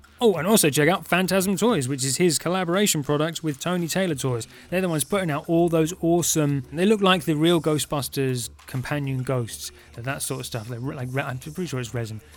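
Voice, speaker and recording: Music plays in the background as a man talks at a fairly quick pace with hardly any pauses. His pitch is fairly high, with ordinary pitch variation. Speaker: podcast host. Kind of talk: casual podcast hosting. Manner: animated, friendly.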